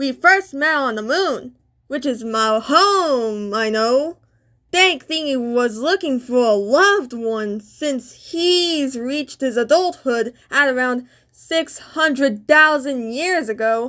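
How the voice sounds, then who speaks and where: Put-on character voice, female-sounding and high-pitched, at a fairly slow pace in a very clean recording with a silent background. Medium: machinima. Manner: bubbly, friendly.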